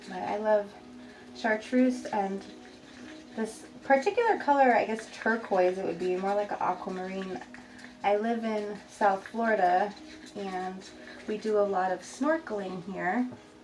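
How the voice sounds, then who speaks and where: Amid noticeable background noise, a woman speaks at a fairly slow pace. She leaves long, frequent pauses. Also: medium pitch for a woman, ordinary pitch variation. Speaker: resin artist. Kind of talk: tutorial. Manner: slightly slurred speech from new braces.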